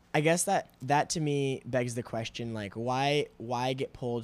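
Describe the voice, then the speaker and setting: A man speaks at a fairly slow pace in a normal speaking voice with a medium pitch. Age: 20s. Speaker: podcast host. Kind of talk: casual chat. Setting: remote call.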